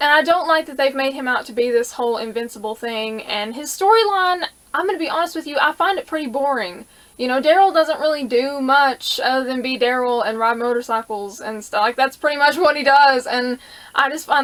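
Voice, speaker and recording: A woman at a fairly quick pace, high in pitch, with ordinary pitch variation. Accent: Southern US. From US South. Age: 20s. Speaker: YouTuber answering viewer questions. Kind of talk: casual Q&A vlog. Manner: animated.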